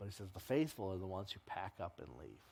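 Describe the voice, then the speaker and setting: A man with lively intonation, a somewhat breathy voice and a fairly quick pace. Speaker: pastor teaching a Bible class. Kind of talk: lecture. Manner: halting, many fillers.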